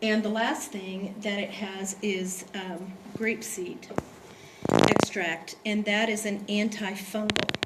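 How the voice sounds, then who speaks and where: Room echo is clearly audible around a woman's voice, along with distinct noise in the background. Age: 60s. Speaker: product distributor presenter. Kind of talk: sales presentation.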